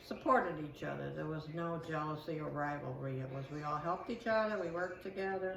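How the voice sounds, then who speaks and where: A woman speaks at a fairly quick pace in a very deep, low voice with ordinary pitch variation, leaving hardly any pauses. Noticeable background noise and audible room echo fill the recording. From Sicily, Italy. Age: 70s. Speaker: interviewee, immigrant. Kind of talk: interview.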